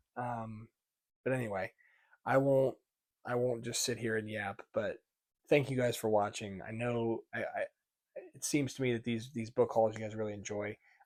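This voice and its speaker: The voice is quiet, moving at a moderate pace with fairly even intonation. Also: man. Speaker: book reviewer. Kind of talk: casual book haul vlog. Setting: at home at night. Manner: monotone.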